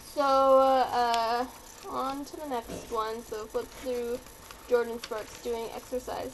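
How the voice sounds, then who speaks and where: A woman talks in a high pitch. Noticeable background noise runs underneath. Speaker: vlogger. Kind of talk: casual vlog review. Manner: animated.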